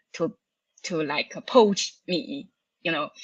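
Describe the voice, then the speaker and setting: This voice has a bright, sharp tone, ordinary pitch variation and a Chinese accent, recorded with a dry, close sound and no echo. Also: woman. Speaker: cloud architect and author. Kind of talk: podcast interview. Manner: halting, many fillers.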